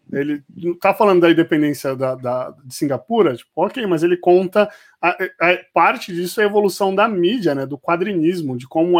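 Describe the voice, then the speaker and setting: On a very clean recording with a silent background, a man with a high pitch talks at a moderate pace, his loudness swinging widely. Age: 30s. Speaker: podcast host. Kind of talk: casual interview.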